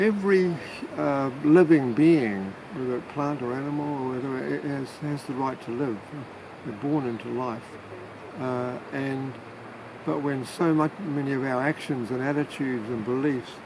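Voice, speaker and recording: A man with a New Zealand accent speaks at a moderate pace, at a medium pitch with ordinary pitch variation. Noticeable background noise and audible room echo surround his voice. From New Zealand, Manawatu. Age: 70s. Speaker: retired family therapist, climate activist. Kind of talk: interview. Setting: outdoors by a river. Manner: halting, many fillers.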